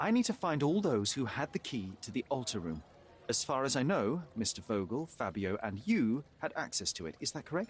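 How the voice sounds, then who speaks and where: Using very wide pitch swings and vocal fry, a man talks at a moderate pace and medium pitch. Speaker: detective.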